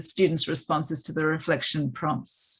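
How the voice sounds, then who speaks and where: Someone speaks fairly slowly with an Australian accent over a quiet background. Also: woman. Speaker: maths education academic. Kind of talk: webinar presentation.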